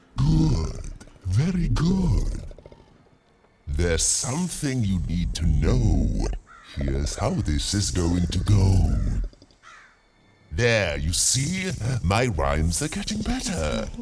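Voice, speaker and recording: A man's put-on character voice, very deep and low, at a very slow pace with long, frequent pauses. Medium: video game. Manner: pompous, easily flustered.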